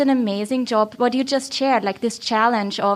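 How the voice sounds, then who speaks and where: This is a woman speaking. She has an Austrian accent. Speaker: podcast host. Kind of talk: live panel talk. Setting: stage with audience. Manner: animated, chatty.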